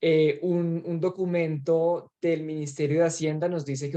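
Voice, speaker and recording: This man's voice has a fairly high pitch. Its tone is dark and mellow. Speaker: trainer. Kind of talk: training presentation. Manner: fast.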